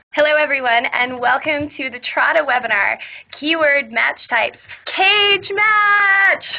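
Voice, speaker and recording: There is noticeable background noise as a woman speaks in a high voice with very wide pitch swings. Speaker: webinar host. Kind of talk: webinar presentation. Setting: online webinar. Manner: fast.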